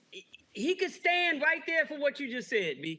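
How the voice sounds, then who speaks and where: A man projects a raised voice with a bright, sharp tone. His intonation is lively and his pace moderate. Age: 60s. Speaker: basketball writer and magazine editor. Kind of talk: casual chat.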